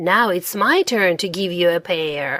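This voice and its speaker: A woman's put-on character voice, growling, at a medium pitch with ordinary pitch variation. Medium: read story.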